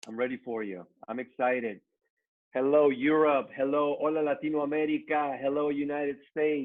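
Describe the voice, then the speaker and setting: With a Mexican accent, a man talks at a fairly quick pace. His pitch is fairly high, with ordinary variation. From Mexico. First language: Spanish. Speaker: network marketing trainer. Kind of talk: motivational business training.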